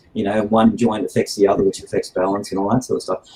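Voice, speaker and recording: Fairly low in pitch and with ordinary pitch variation, a man speaks with an Australian accent. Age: 60s. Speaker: martial arts instructor. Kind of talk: podcast interview. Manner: hesitant, many fillers.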